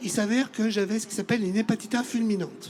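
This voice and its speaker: Against noticeable background noise, a man with a high-pitched voice talks at a fairly quick pace. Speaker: audience member, liver transplant patient. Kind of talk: testimony.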